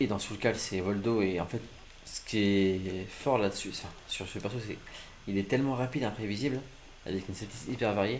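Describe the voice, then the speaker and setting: Ordinary pitch variation from a man talking at a fairly quick pace. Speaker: gaming streamer. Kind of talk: live gameplay commentary. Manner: poor articulation, stumbling; animated.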